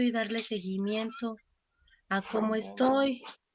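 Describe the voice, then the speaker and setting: Very slowly, a woman speaks in a fairly high voice. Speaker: church member. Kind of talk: testimony.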